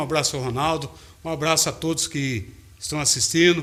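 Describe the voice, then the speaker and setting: At a moderate pace, a man talks in an unremarkable speaking voice, fairly high in pitch with fairly even intonation. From Brazil, Limeira, São Paulo state. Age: 60s. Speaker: radio broadcaster and city council candidate. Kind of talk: interview.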